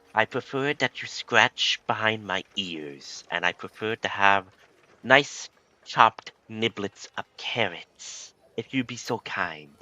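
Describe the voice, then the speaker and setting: Using a put-on character voice, a man talks fairly slowly at a medium pitch. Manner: polite, prim.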